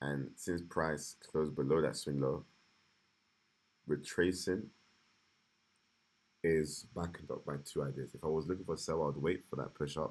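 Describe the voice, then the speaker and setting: Long, frequent pauses break up a man's very deep, low voice, which shows vocal fry and moves at a moderate pace. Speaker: day trader. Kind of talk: live trading analysis stream. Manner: halting; multitasking, distracted.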